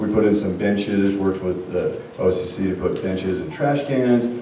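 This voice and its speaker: A man with a fairly low pitch speaks at a moderate pace and with fairly even intonation, with audible room echo and noticeable background noise. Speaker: city official. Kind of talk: town hall remarks.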